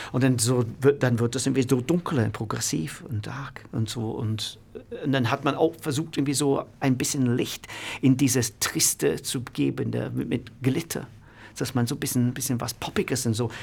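Vocal fry marks a man's speech with an English accent. He keeps a moderate pace and ordinary pitch variation. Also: medium pitch for a man. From northern England, Manchester. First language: English (speaking German). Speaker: music producer and manager. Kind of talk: interview.

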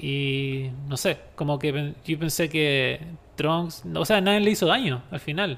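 In a Chilean accent, a man speaks at a very slow pace. His pitch is fairly high, with ordinary pitch variation. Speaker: podcast host. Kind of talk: casual chat.

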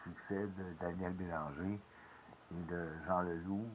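A man with a very deep, low voice speaks very slowly, his intonation fairly even. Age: 50s. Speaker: podcaster, former radio music worker. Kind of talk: casual monologue. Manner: halting, many hesitations.

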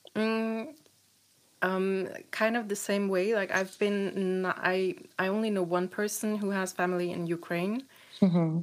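In a German accent, a woman speaks at a fairly slow pace and a medium pitch, with fairly even intonation and long, frequent pauses. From Eastern Germany. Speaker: podcast host. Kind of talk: interview.

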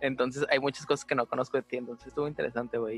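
In a Mexican accent, a man speaks at a medium pitch with monotone, flat intonation, the sound dry and close with no echo. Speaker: podcast host and design student. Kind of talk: casual chat.

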